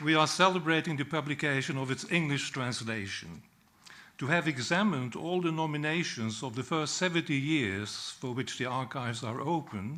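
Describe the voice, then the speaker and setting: A man with a Dutch accent, fairly high in pitch, bright and sharp in tone, with ordinary pitch variation and a moderate pace. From Netherlands. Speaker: peace historian. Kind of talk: speech at a book launch. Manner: formal.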